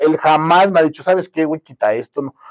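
This man speaks at a very fast pace. The sound is dry and close, with no echo. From Mexico, Guerrero. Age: 30s. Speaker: filmmaker. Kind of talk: casual chat.

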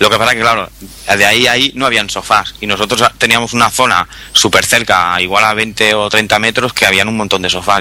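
Fairly quick and fairly even in intonation, a man speaks at a fairly low pitch over noticeable background noise. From Barcelona, Spain. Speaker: podcaster. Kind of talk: casual group chat. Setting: online call.

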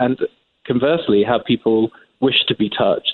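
Speech comes at a moderate pace. It is delivered with an English accent. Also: man. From England. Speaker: magazine editor. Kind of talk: interview.

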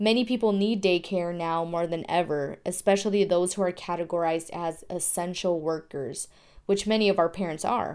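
Recorded very cleanly against a silent background, a woman with an American accent speaks in a plain, everyday voice at medium pitch with ordinary pitch variation. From Tucson, Arizona. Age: 20s. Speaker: journalism student. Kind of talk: scripted narration.

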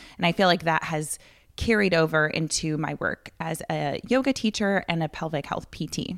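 Using an unremarkable speaking voice, a woman talks at a moderate pace with lively intonation and a fairly low pitch, in a very clean recording with a silent background. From Wisconsin. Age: 30s. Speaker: physical therapist and yoga instructor. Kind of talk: casual interview.

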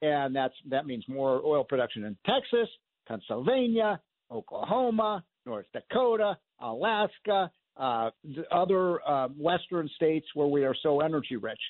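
Talking at a moderate pace, a man lets his pitch swing very widely. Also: fairly high pitch for a man. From US Midwest, suburban Chicago. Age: 60s. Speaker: radio host, economist. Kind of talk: talk radio monologue and call-in.

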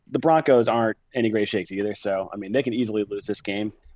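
This man has an ordinary speaking voice at medium pitch. He talks at a fairly quick pace in a dry, close sound with no echo. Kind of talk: casual sports banter and betting picks.

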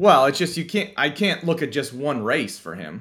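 A man with an American accent, very wide pitch swings and vocal fry. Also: very clean recording, silent background. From Pennsylvania. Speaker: sports betting statistics analyst. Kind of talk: casual chat.

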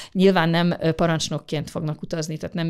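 Over a very clean recording with a silent background, a woman with vocal fry talks at a fairly quick pace in a fairly low pitch with fairly even intonation. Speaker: government space official. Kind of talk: interview answers. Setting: studio. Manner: formal, explanatory.

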